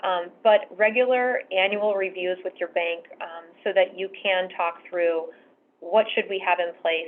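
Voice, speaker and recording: This is an ordinary speaking voice from a woman at medium pitch. She speaks at a fairly slow pace. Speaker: bank treasury management sales executive. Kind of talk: presentation on fraud prevention.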